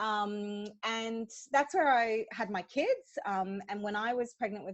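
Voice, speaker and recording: With ordinary pitch variation, this woman talks in a fairly high voice. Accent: Australian. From Hong Kong, Australian parents. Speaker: childbirth educator and doula. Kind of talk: interview conversation.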